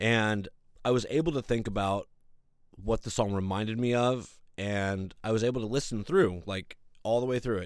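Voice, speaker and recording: In a very clean recording with a silent background, a man of medium pitch speaks at a moderate pace in an animated tone with ordinary pitch variation. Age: 40s. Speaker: podcast host. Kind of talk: casual monologue.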